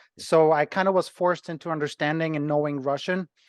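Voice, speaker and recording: A man with a Ukrainian accent speaks at a fairly quick pace and fairly high pitch with fairly even intonation, in a dry, close sound with no echo over a quiet background. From Ukraine. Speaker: personal trainer and gym owner. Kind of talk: interview.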